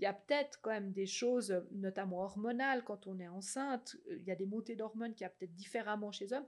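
A woman speaks at a medium pitch and a fairly quick pace, with ordinary pitch variation. It is an unremarkable speaking voice. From Switzerland, French-speaking, outside Vaud. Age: 40s. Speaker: social psychology researcher and cantonal MP. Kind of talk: podcast interview. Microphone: too far from the mic at first.

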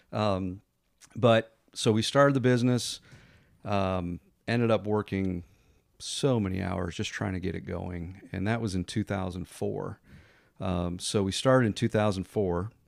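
An ordinary speaking voice from a man, fairly low in pitch with ordinary pitch variation, at a fairly slow pace in a very clean recording with a silent background. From US Northeast, Connecticut. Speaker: mortgage lender and business owner. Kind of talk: podcast interview.

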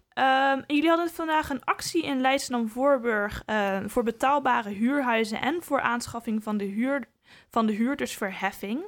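Recorded very cleanly against a silent background, a woman speaks in a high pitch. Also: ordinary pitch variation, moderate pace. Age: young. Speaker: podcast host. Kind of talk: interview. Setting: studio.

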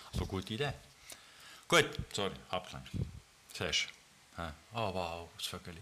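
A man with a very deep, low pitch and vocal fry speaks at a moderate pace with lively intonation, a bright, sharp tone and long, frequent pauses. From Switzerland, Bern area (Ostermundigen) and Düdingen. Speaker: podcast co-host. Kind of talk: casual chat.

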